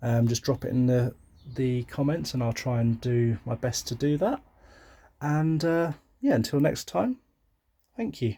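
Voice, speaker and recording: A man with a medium-pitched, somewhat breathy voice and a dark, mellow tone speaks fairly slowly, with long, frequent pauses and ordinary pitch variation. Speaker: plant collector vlogger. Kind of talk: casual video tour.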